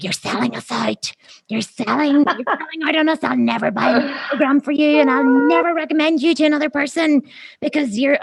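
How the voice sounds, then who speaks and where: A high, put-on character voice moves along at a fairly quick pace. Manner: scolding, accusing.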